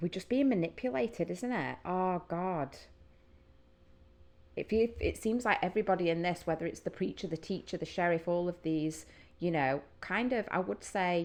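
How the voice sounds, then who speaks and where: A woman's fairly low-pitched voice with a Northern English accent, at a moderate pace against a quiet background. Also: lively intonation. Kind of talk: casual music reaction talk to camera.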